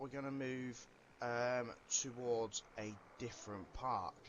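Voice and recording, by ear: A man talks at a medium pitch. His tone is fairly bright.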